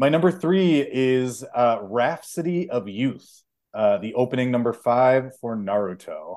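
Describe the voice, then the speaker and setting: A man with an American accent has an ordinary speaking voice at a medium pitch. He talks fairly slowly with lively intonation. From Chicago, US Midwest. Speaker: podcast co-host. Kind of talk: casual chat.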